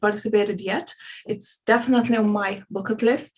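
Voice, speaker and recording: Somewhat breathy, a woman with a fairly high pitch speaks at a moderate pace with fairly even intonation. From Hungary. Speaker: spiritual coach. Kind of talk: casual interview chat. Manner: halting.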